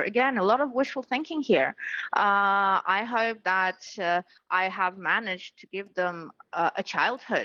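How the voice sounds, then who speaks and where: A woman with a Ukrainian accent speaks at a moderate pace with ordinary pitch variation. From Ukraine. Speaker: politician. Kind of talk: news interview. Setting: remote interview from Kyiv.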